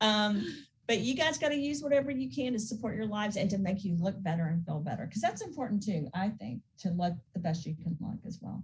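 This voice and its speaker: A woman with an American accent talks at a fairly quick pace in a somewhat breathy, medium-pitched voice with very wide pitch swings. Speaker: skincare business founder. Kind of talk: casual chat.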